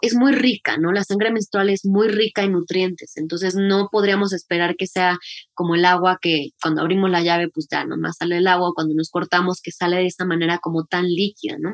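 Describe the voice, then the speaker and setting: With a normal speaking voice at medium pitch, a woman talks at a fairly quick pace with hardly any pauses and fairly even intonation, the sound dry and close with no echo. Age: 30s. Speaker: menstrual health educator. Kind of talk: interview.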